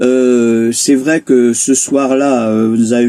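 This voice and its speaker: A man speaks at a very slow pace in a medium pitch with a dark, mellow tone. The sound is dry and close, with no echo. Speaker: travel vlogger. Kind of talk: casual chat. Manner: loud.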